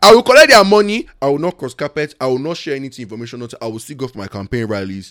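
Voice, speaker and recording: A man rushes along at a very fast pace and medium pitch, with hardly any pauses, very wide pitch swings, and big swings in loudness. The recording is very clean and silent behind him, with a dry, close sound and no echo. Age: 20s. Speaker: chef. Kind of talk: casual chat.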